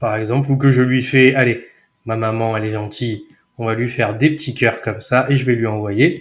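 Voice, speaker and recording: At a moderate pace, a man with a medium pitch talks in a somewhat breathy way with fairly even intonation. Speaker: software trainer. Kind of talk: tutorial. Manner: casual, chatty.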